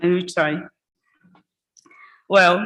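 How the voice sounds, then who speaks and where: A woman with a Portuguese accent talks at a fairly slow pace, her intonation fairly even. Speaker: economist. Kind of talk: conference presentation. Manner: halting.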